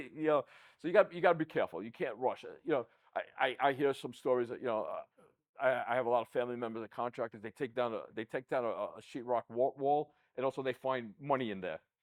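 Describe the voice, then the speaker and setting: A man with a New York accent talks at a very fast pace and medium pitch, with ordinary pitch variation. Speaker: podcast host, accounting firm CEO. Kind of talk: casual interview chat. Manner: repeats words, stammering starts.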